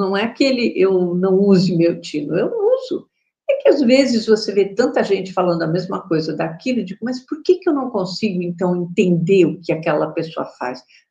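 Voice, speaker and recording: At a moderate pace, a woman of medium pitch speaks in a somewhat breathy, dark, mellow tone. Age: 60s. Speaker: spiritual teacher. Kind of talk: casual chat. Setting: live stream.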